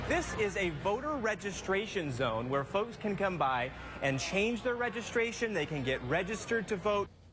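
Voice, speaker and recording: Over noticeable background noise, a man talks at a moderate pace in a high pitch, making very wide pitch swings while keeping his loudness very even. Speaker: TV news anchor and reporter. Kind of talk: TV news field report.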